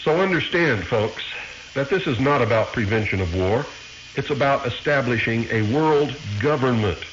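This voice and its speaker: A man with an American accent talks at a moderate pace and medium pitch, with lively intonation and very even loudness. Audible room echo and noticeable background noise come through. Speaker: radio host. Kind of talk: radio monologue.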